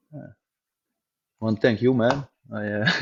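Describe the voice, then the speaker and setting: At a fairly slow pace, a man with a Dutch accent talks at a medium pitch. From Netherlands. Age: 40s. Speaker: gym owner. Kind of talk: interview. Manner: halting.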